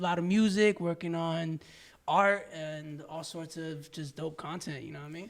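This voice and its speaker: This man has an American accent. He talks at a moderate pace. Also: very clean recording, silent background. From New York. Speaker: rapper. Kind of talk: casual interview.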